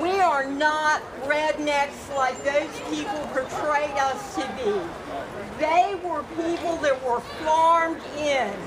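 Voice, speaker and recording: A woman with an American accent speaks at a very slow pace in a high pitch. Room echo is audible, with crowd noise in the background. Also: ordinary pitch variation. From US South (Virginia, South Carolina). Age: 60s. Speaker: rally speaker. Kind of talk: public speech. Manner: loud.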